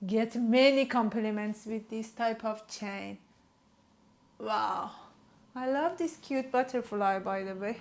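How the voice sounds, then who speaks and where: A woman with a Persian accent speaks at a fairly high pitch. Her pace is very slow, with long, frequent pauses. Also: ordinary pitch variation. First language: Farsi. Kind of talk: product showcase. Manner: animated.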